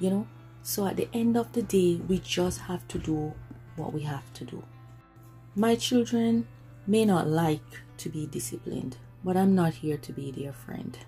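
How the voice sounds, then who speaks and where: A woman speaks with a very deep, low pitch, leaving long, frequent pauses. Faint music plays in the background. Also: moderate pace. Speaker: parent vlogger. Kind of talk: casual vlog chat. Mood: earnest, firm. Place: home room. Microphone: phone near.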